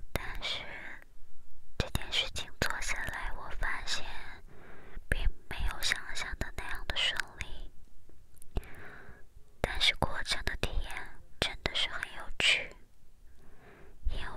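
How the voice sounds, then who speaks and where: Whispering, a woman moves at a very slow pace. Long, frequent pauses break up her words. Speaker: ASMR content creator. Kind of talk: ASMR whisper chat to camera. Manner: whispered, soft-spoken, slow. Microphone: studio mic.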